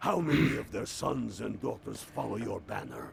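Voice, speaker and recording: A man puts on a raspy character voice at medium pitch and a moderate pace, with clear background noise behind him. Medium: video game. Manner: gruff, blunt, aggressive.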